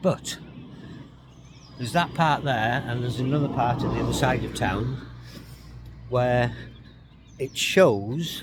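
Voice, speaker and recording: Against noticeable background noise, a man talks at a fairly slow pace with long, frequent pauses and ordinary pitch variation. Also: medium pitch for a man. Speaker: travel vlogger. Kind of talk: vlog walking tour narration. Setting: outdoors. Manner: casual, repetitive with fillers.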